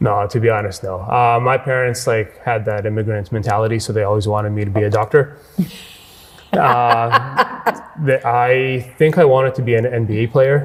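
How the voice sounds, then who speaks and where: With a Canadian accent, a man speaks at a moderate pace and medium pitch, his intonation fairly even, over noticeable background noise. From western Canada, Edmonton. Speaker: business owner. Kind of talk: interview.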